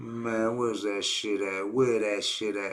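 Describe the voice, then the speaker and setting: Through noticeable background noise, a man talks in a fairly low pitch with monotone, flat intonation. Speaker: podcast host. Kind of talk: casual chat. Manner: halting.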